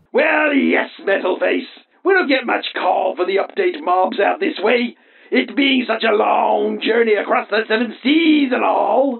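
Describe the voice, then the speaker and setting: A put-on character voice, fairly high in pitch, carries a theatrical tone. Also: moderate pace. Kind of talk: comic overacting. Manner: blustering, theatrical.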